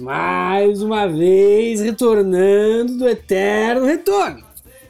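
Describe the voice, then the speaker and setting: Noticeable background noise surrounds a woman who talks at a very slow pace. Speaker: podcast guest.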